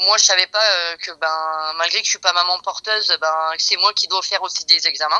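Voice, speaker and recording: A woman speaks at a moderate pace with hardly any pauses. The sound is dry and close with no echo. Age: 40s. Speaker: interviewee in a testimony podcast. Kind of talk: casual interview testimony. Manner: hesitant, many fillers.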